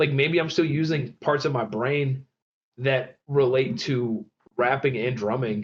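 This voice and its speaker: A man with an American accent, somewhat breathy, at a fairly slow pace. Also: medium pitch for a man, ordinary pitch variation. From Michigan, suburbs of Detroit. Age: 20s. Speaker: rapper. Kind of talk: casual chat.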